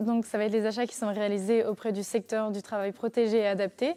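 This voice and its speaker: On a very clean recording with a silent background, a woman with a fairly high pitch and a dark, mellow tone talks at a moderate pace. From western France, Nantes region. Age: 20s. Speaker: master's student and apprentice buyer. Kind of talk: interview testimony. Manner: hesitant, many fillers.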